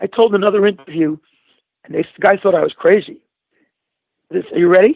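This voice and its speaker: A man talks at a moderate pace. He has a Brooklyn accent. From New York, Brooklyn. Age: 60s. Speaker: talk show guest. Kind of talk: casual chat. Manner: animated.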